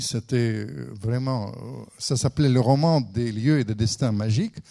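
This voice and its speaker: A man's medium-pitched, dark, mellow voice in a Russian accent, with ordinary pitch variation. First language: Russian (speaking French). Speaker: writer and former diplomat. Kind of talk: lecture.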